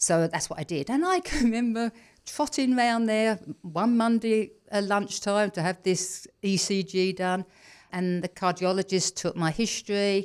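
A woman with an English accent speaks fairly slowly at medium pitch with ordinary pitch variation. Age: 60s. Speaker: personal trainer and wellness coach. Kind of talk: interview. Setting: studio.

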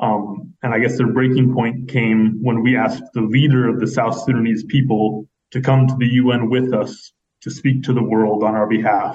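At a moderate pace, a man speaks in an ordinary speaking voice with fairly even intonation. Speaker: human rights advocate. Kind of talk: interview.

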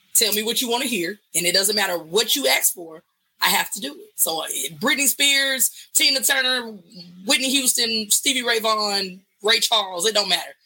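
A woman with a Southern US accent speaks at a moderate pace in a bright, sharp tone. Her fairly high pitch has lively intonation, and her loudness swings widely. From US South, West Memphis, Arkansas. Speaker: singer-songwriter. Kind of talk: casual chat.

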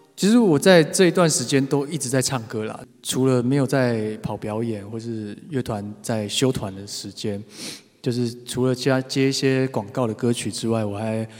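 Here is a man with a plain, everyday voice and a medium pitch. He keeps a moderate pace with ordinary pitch variation. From Taiwan, Taipei. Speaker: singer-songwriter. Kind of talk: casual talk between songs.

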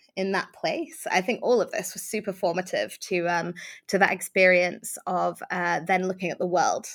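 A woman speaks at a moderate pace and a medium pitch, with a British accent and some vocal fry. The recording is very clean, with a silent background. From UK, Iranian family. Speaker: author and remote work advocate. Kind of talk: interview. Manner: hesitant fillers, frequent ums.

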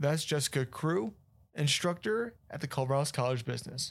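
A man with a plain, everyday voice, fairly high in pitch, with lively intonation. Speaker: podcast host. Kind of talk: interview.

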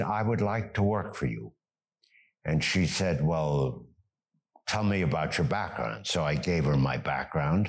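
Speaking at a fairly slow pace, a man with a very deep, low voice and vocal fry uses lively intonation on a very clean recording with a silent background. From Germany, raised in US. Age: 90s. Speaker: retired businessman and volunteer refugee fundraiser. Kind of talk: interview, telling his story.

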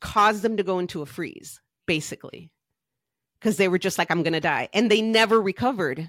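With an ordinary speaking voice, a woman talks at a fairly quick pace in a medium pitch with ordinary pitch variation, the sound dry and close with no echo on a very clean recording with a silent background. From US, Mexican American family. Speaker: life coach. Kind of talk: casual interview chat.

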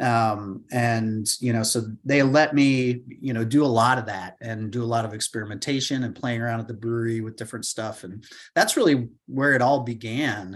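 This is an ordinary speaking voice from a man, with fairly even intonation. He keeps a moderate pace against a quiet background. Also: medium pitch for a man. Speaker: draft beer quality expert. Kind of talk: expert interview.

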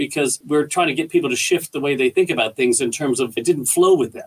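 A man talks at a very fast pace in a fairly high voice with ordinary pitch variation. The sound is dry and close with no echo, though background noise is noticeable. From Canada. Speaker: leadership company founder and speaker. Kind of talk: casual interview chat. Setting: video call from Perth, Australia. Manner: calm, humorous, bright.

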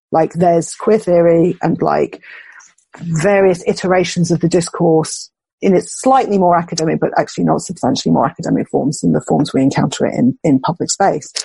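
With a British accent, a woman talks at a fairly quick pace. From UK. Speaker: philosopher and writer. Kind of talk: conversational interview.

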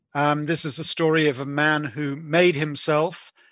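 This man has a British accent, a fairly high pitch and a monotone, flat intonation. He speaks at a fairly slow pace against a quiet background. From UK, born in Belfast. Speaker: author and historian, former journalist. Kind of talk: interview. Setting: podcast interview. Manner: hesitant, many fillers.

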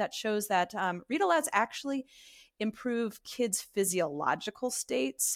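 With an American accent, a woman talks in a normal speaking voice, fairly high in pitch with lively intonation and a fairly slow pace, on a very clean recording with a silent background and a dry, close sound with no echo. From US East Coast. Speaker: literacy education professor and author. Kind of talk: interview.

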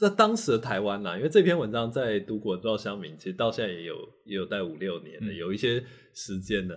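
With big swings in loudness, a man talks very fast in a fairly low pitch with ordinary pitch variation. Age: 40s. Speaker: university professor of Chinese literature. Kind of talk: casual interview. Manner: animated, repetitive fillers.

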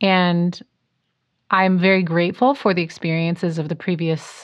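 In an ordinary speaking voice with an American accent, a woman talks at a fairly low pitch with fairly even intonation. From US Pacific Northwest. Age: 30s. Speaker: jazz singer and vocal teacher. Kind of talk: casual interview.

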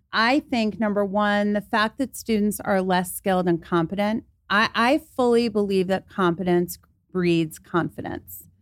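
In an unremarkable speaking voice, a woman at medium pitch talks at a fairly slow pace with ordinary pitch variation and very even loudness, the sound dry and close with no echo. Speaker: college professor and anxiety coach. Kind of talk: interview on anxiety and performance. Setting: studio.

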